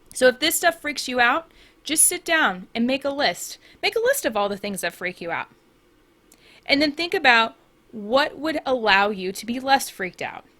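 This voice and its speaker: Raised and projected, a woman's high, bright, sharp voice sounds animated at a moderate pace, with very wide pitch swings and big swings in loudness. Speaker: podcast host and life coach. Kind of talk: solo podcast monologue.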